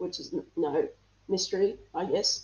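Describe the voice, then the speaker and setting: A woman's voice comes through here. Her accent is Australian. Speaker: interview guest. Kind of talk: casual interview.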